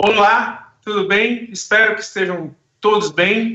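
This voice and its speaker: A man speaking at a very slow pace. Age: 60s. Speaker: debate moderator and actor. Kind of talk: panel discussion opening. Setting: video call from home.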